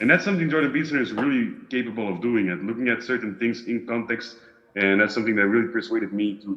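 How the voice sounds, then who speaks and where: A man with a Flemish accent talks at a very fast pace. His voice is medium in pitch, with ordinary pitch variation. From Belgium, Flemish part. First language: Dutch. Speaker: discussion group participant. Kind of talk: casual chat. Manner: halting, searching for words.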